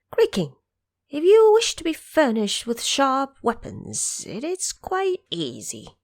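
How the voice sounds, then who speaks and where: In a very clean recording with a silent background, a woman uses a put-on character voice, high-pitched and delivered at a fairly slow pace. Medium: audio drama. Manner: deferential, advising.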